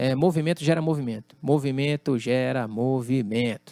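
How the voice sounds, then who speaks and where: Recorded with a dry, close sound and no echo, a man talks at a fairly slow pace with lively intonation. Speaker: drummer and music producer. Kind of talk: interview conversation.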